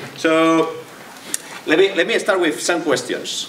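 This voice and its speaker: A man with a strong Spanish accent speaks at a moderate pace in a fairly high pitch. Noticeable background noise and audible room echo are present. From Spain. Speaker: tech entrepreneur. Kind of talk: tech talk. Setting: stage with audience. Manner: halting, many repetitions.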